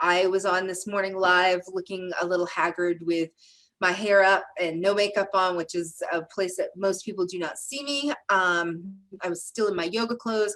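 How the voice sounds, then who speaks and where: An unremarkable speaking voice from a woman at medium pitch, moderate in pace, with fairly even intonation. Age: 50s. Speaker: wellness center co-host. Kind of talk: live webinar discussion. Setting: Zoom call streamed live on Facebook.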